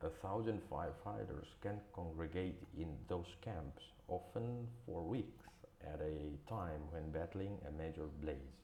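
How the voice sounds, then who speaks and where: Speaking at a very slow pace, a man with a very deep, low pitch and vocal fry uses lively intonation. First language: not English. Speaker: English learner. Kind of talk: news article read aloud.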